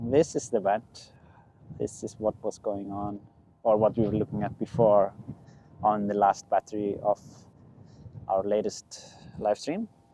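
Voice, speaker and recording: Recorded with a dry, close sound and no echo, a man with an Icelandic accent and a dark, mellow tone speaks at fairly low pitch and a fairly slow pace, with fairly even intonation and long, frequent pauses. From Iceland, Westfjords. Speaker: drone pilot live streamer. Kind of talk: live stream commentary. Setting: outdoors at volcano. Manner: casual, halting.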